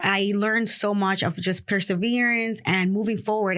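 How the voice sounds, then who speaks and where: At a fairly quick pace, a woman with a Spanish accent speaks at medium pitch on a very clean recording with a silent background. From Dominican Republic, then New York City from age 8. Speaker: real estate investor. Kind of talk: podcast interview.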